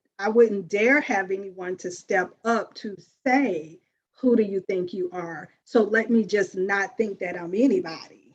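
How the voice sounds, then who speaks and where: A woman with an American accent speaks at a fairly slow pace in a medium pitch, with ordinary pitch variation. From US South. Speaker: life coach hosting a women's circle. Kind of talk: group sharing talk. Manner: expressive.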